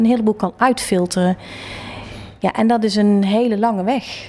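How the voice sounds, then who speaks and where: With an unremarkable speaking voice, a woman speaks at a moderate pace in a fairly high pitch and fairly even intonation. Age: 40s. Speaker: interior designer. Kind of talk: interview. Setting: her office.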